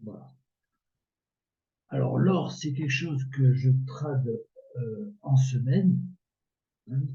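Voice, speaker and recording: Long, frequent pauses break up this man's very slow delivery, and his loudness swings widely. His medium-pitched voice shows ordinary pitch variation, with audible room echo around it. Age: 60s. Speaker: amateur trader and video creator. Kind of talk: casual tutorial. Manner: hesitant, many filler words.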